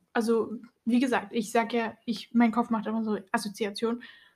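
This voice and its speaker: A woman's voice sits fairly high in pitch and sounds somewhat breathy. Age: 20s. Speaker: podcast co-host. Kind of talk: casual chat.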